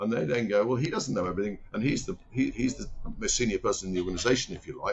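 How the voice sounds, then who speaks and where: His voice is somewhat breathy. A man is speaking. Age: 60s. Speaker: company chairman. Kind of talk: interview. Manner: halting.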